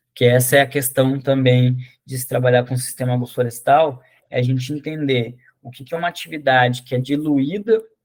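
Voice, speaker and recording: Using an ordinary speaking voice, a man talks at a fairly quick pace with a medium pitch, ordinary pitch variation and big swings in loudness. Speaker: agroforestry course instructor. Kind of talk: online lecture.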